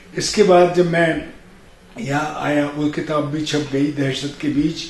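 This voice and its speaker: A man with a fairly high voice talks in a fairly even tone, with audible room echo and noticeable noise behind him. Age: 70s. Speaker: poet and retired NGO executive. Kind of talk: interview.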